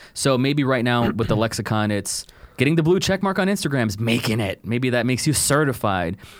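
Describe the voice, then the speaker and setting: Lively intonation and a fairly quick pace mark an unremarkable speaking voice with an American accent. The recording is very clean, with a silent background. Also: man, very even loudness. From South Texas (Rio Grande Valley). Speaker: indie filmmaker. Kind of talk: casual chat.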